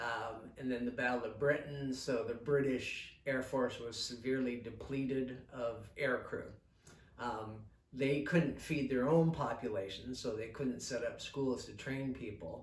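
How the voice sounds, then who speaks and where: Somewhat breathy and medium in pitch, a man talks at a fairly slow pace with fairly even intonation. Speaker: local historian and author. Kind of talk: oral history interview, explaining history. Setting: recorded at a museum interview.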